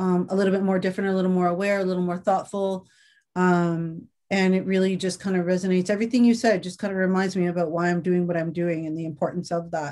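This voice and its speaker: A woman talks at a very fast pace in a medium pitch with a dark, mellow tone. Her intonation stays monotone and flat against a quiet background. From Canada. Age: 50s. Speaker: interviewer. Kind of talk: interview. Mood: thoughtful, reflective. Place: home room. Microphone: webcam.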